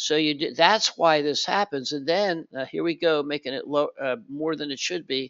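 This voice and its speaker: Keeping a moderate pace with hardly any pauses, a man speaks at a fairly high pitch with fairly even intonation. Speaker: market trading analyst. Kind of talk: tutorial. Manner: halting, many fillers and restarts.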